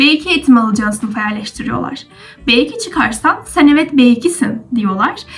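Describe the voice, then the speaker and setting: A woman with lively intonation talks while music sounds in the background. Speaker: university student vlogger. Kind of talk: casual explanatory vlog. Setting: at home.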